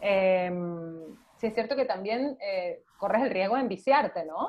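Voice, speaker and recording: A woman with a plain, everyday voice speaks at a fairly slow pace with ordinary pitch variation. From Venezuela. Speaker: actress. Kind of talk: casual chat. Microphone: video call.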